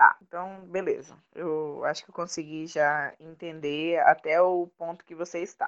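With a normal speaking voice, a woman talks at a fairly slow pace in a fairly low pitch, her intonation fairly even and her loudness swinging widely. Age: 20s. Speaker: beautician acting as student. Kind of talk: casual conversation.

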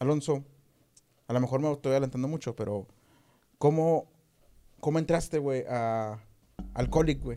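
With a strong regional Mexican accent, a man speaks at a fairly high pitch in a dark, mellow tone, using ordinary pitch variation at a fairly slow pace with long, frequent pauses. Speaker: podcast host. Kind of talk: casual chat.

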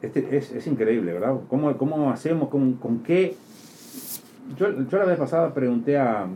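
Long, frequent pauses mark the speech of a man whose fairly high pitch carries a dark, mellow tone. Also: lively intonation, moderate pace. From outside Uruguay. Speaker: radio host. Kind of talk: political talk show interview. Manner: animated.

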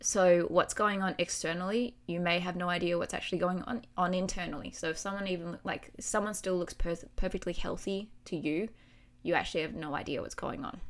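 Spoken at a fairly quick pace in an Australian accent, this animated voice has ordinary pitch variation. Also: woman, medium pitch for a woman. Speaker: podcast host sharing her recovery story. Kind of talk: personal confessional chat about eating disorder. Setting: home recording with noisy neighbors. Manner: animated, candid, swears.

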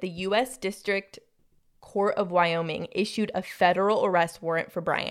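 A woman speaks with a plain, everyday voice at a medium pitch and moderate pace. Her intonation is fairly even on a very clean recording with a silent background. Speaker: podcast co-host. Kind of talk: casual chat.

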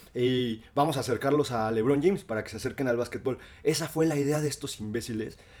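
Very fast delivery comes from a man whose pitch sits in the medium range. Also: ordinary pitch variation. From Mexico, Cuernavaca. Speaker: podcast co-host. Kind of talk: casual chat. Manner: animated.

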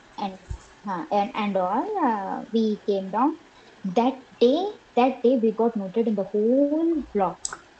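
Over noticeable background noise, a woman with an Indian accent talks at a very slow pace with lively intonation. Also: fairly high pitch for a woman. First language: Telugu. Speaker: podcast guest. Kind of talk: casual interview chat.

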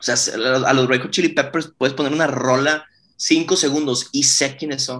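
A normal speaking voice from a man, pitch varying in a typical way. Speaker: rock band singer. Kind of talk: casual interview chat.

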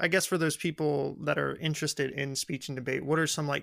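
An American accent is heard here. The recording is very clean and the background silent. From West Texas, small town. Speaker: student podcast host. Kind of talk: casual interview.

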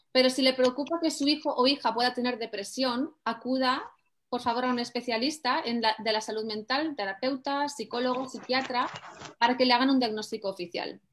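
A woman talks at a fairly quick pace in a high voice with fairly even intonation. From Spain. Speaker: life coach. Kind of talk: presentation.

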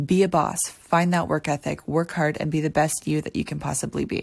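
In a very clean recording with a silent background, a woman with an unremarkable speaking voice talks at a moderate pace, her fairly low pitch showing ordinary pitch variation. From Ontario, Canada (near Toronto). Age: 20s. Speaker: podcast host, dancer and choreographer. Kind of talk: scripted podcast intro monologue. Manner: upbeat, motivational.

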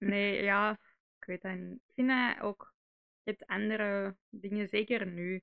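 A woman's very slow speech in a Flemish accent, at medium pitch with monotone, flat intonation. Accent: Flemish Dutch. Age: 20s. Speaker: podcast co-host. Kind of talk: casual chat.

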